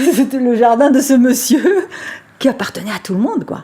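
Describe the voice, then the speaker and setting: Her voice sits high in pitch for a woman. Noticeable background noise runs underneath. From Spain, Valencia area. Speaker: interviewee recalling childhood. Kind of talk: personal reminiscence.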